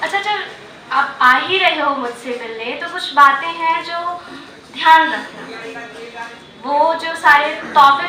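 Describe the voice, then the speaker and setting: A woman with an extremely high pitch uses a raised, projected voice over music in the background. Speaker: open mic storyteller / poet. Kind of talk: open mic poetry and storytelling performance. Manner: emotional, sarcastic, addressing an ex-lover.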